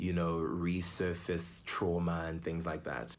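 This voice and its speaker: Amid audible room echo, a man with a very deep, low pitch talks at a fairly slow pace. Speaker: vlogger. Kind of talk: personal vlog monologue. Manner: halting, with fillers and repetitions.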